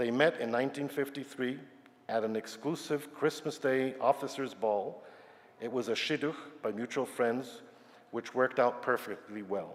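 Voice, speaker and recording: An ordinary speaking voice from a man, moderate in pace, medium in pitch, with fairly even intonation. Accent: American. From Yugoslavia and New York. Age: 60s. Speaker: retired scientist. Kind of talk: personal talk to congregation.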